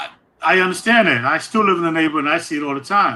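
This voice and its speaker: In a New York accent, a man talks very fast with a high pitch, lively intonation and a bright, sharp tone. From New York, East Harlem. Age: 60s. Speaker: program alumnus speaker. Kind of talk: casual interview. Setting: live-streamed town hall.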